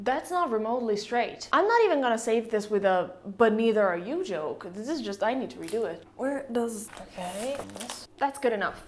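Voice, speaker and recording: A woman with an Italian accent speaks at a moderate pace and fairly high pitch, her tone animated. Her intonation is lively, with noticeable background noise behind her. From Italy. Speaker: YouTuber, physics historian. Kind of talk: channel introduction vlog. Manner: casual, animated.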